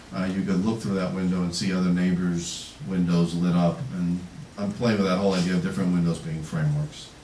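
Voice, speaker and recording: There is noticeable background noise behind this man. He speaks fairly quickly with a very deep, low pitch. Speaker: poet. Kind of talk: casual introduction to audience. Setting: bookstore reading, live audience. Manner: conversational, hesitant.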